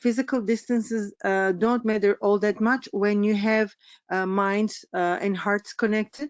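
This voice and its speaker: A woman's fairly high voice with a Turkish accent. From Turkey. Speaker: business coach. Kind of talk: webinar presentation. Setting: online webinar. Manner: halting, many fillers.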